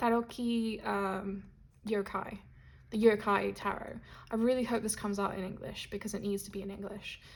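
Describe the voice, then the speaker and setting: A woman speaks at a moderate pace in a somewhat breathy voice, her intonation monotone and flat while her loudness swings widely. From Spain and Britain. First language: Spanish. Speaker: tarot content creator. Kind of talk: casual vlog.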